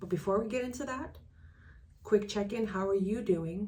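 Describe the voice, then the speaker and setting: There is vocal fry in this woman's voice, which has ordinary pitch variation and audible room echo. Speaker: transaction coordinator and business coach. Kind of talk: casual vlog talk to camera. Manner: halting, self-correcting.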